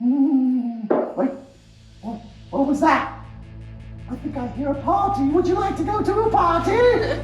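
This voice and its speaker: Over clear background music, a cartoonish character voice with a high pitch speaks at a fairly slow pace with slight echo. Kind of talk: puppet show interview host. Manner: excitable, loud.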